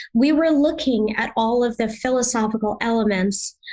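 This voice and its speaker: A woman's normal speaking voice, fairly high in pitch, with an American accent and a moderate pace. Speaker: yoga therapy trainer. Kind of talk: interview. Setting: podcast interview.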